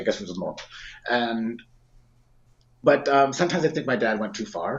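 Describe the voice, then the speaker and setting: A man speaks with a western Canadian accent. His intonation is lively. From Saskatchewan, Canada. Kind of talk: personal testimony in podcast interview. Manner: halting, with frequent fillers and restarts.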